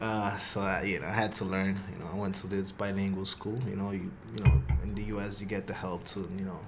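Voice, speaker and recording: With audible room echo, a man in a Spanish accent talks at a fairly quick pace and fairly low pitch, his intonation fairly even. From Honduras, then the Bronx, New York from age eight. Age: 20s. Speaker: soccer player. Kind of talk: podcast interview. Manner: halting, many fillers.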